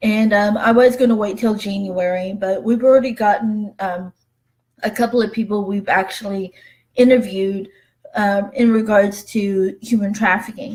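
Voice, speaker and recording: This woman's voice is somewhat breathy, and she talks at a moderate pace. Her intonation stays fairly even. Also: medium pitch for a woman. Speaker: human trafficking survivor and advocate. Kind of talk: live webinar talk. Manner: halting, many fillers.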